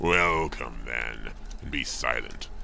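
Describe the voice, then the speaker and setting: Over clear background noise, a man does a put-on character voice with a solemn tone. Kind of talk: archaic ritual speech. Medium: audio drama. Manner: commanding, solemn.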